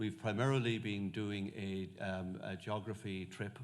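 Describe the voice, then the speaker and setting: A man speaks at a fairly low pitch with fairly even intonation. Audible room echo surrounds his voice. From west of Ireland. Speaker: monk and medieval historian. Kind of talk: lecture. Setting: lecture hall with audience. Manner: halting, many fillers.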